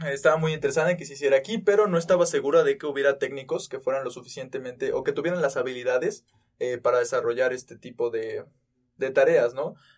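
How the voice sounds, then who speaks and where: A man with a fairly high pitch and ordinary pitch variation talks very quickly. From Mexico, Tulancingo, Hidalgo. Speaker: university student podcast host. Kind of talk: casual chat.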